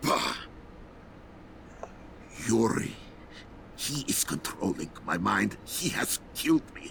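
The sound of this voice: Putting on a character voice, a man speaks slowly at a fairly low pitch with big pitch swings, vocal fry and a fairly bright tone.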